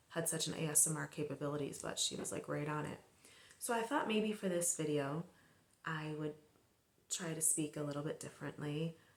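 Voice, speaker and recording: A soft-spoken, relaxed voice moves at a fairly quick pace, with long, frequent pauses and ordinary pitch variation. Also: woman. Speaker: filmmaker and movie channel host. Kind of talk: casual movie talk to camera. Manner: soft-spoken, ASMR-style.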